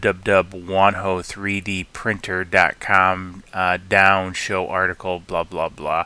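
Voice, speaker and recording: Speaking at a very slow pace, a man uses a very deep, low pitch. His tone is bright and sharp. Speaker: 3D printing tech YouTuber. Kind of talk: tutorial. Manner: halting, many fillers.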